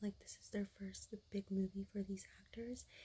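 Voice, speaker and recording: Whispering and soft-spoken, the speaker keeps a moderate pace. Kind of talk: ASMR soft spoken ramble, casual chat to camera. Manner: soft-spoken, whispering, lo-fi.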